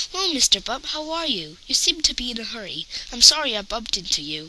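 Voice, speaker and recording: A woman puts on a character voice, high-pitched, with very wide pitch swings and a fairly quick pace. Clear background noise can be heard. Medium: read story.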